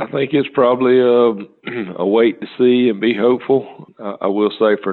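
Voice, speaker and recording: A man uses an unremarkable speaking voice, talking at a moderate pace. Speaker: timber market analyst. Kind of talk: casual interview.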